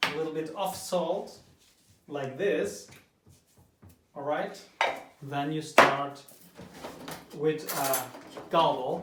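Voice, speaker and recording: With a non-native accent and a fairly high pitch, a man talks at a very slow pace with long, frequent pauses, ordinary pitch variation, big swings in loudness and audible room echo. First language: not English. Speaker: home cook. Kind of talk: tutorial. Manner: halting.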